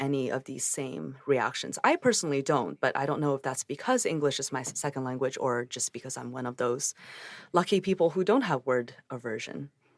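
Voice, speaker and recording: A woman speaks with a Chinese accent in a very deep, low pitch. Her pitch varies in an ordinary way, and the sound is dry and close with no echo. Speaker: psychologist. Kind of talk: interview conversation.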